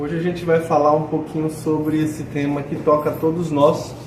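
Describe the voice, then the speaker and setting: With noticeable background noise and audible room echo, a man speaks at a moderate pace and fairly high pitch with fairly even intonation. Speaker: spiritist lecturer. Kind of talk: lecture. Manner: speaking softer than usual.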